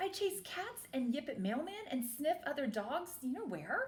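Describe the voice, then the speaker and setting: Someone puts on a character voice with very wide pitch swings at a moderate pace. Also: woman, high pitch for a woman. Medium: read story.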